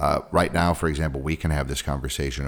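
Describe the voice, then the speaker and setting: A man with an American accent and vocal fry. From San Francisco, California. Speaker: podcast host. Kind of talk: casual interview. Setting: video call.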